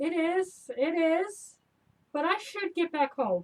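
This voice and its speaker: A put-on character voice, squeaky and extremely high in pitch, at a fairly slow pace. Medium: stage play. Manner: nervous, evasive.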